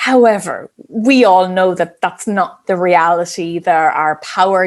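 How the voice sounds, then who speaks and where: A woman speaks with an Irish accent at a medium pitch. Her pace is fairly slow. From Ireland. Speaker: business psychologist. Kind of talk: interview.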